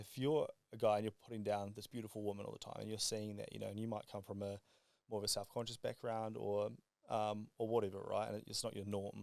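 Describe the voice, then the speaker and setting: This man talks at a very fast pace. His fairly low voice stays monotone, with flat intonation. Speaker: podcast guest, entrepreneur. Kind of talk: casual podcast chat. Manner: mumbling.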